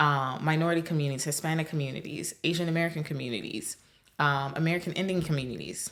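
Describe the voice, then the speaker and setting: Against a quiet background, a woman talks at a very fast pace in a very deep, low voice. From Nigeria. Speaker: podcast host. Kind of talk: podcast monologue. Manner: animated. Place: home room. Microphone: studio mic.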